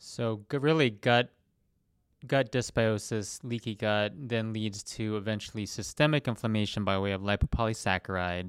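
Recorded very cleanly against a silent background, a man with an unremarkable speaking voice talks at a moderate pace, fairly low in pitch with ordinary pitch variation. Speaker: podcast host, doctor. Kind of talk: interview conversation.

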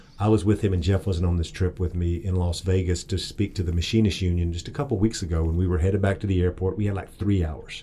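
Somewhat breathy and dark, mellow in tone, a man with an East Texas accent speaks at a very fast pace with hardly any pauses, his pitch very deep and low and his intonation fairly even. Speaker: political campaign advisor. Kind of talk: interview.

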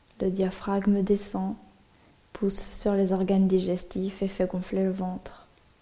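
Very slow and monotone, the voice has a soothing, calm tone, with noticeable background noise present. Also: woman, medium pitch for a woman. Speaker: yoga nidra teacher. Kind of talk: guided meditation. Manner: slow, soothing, hushed and calm; gently paced, drifting with long pauses.

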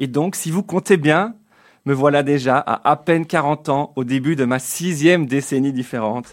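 Using an ordinary speaking voice, a man with a fairly high pitch talks with ordinary pitch variation. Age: 40s. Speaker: radio columnist. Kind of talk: comic radio column.

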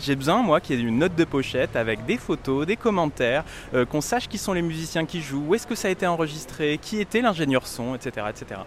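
The speech moves at a fairly quick pace with lively intonation. Noticeable background noise is present. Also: man. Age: 30s. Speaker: radio journalist. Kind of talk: street interview.

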